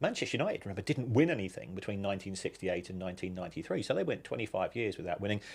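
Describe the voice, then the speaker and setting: A man with an English accent, his fairly low voice full of lively intonation, on a very clean recording with a silent background. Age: 60s. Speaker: football finance expert. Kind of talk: podcast interview.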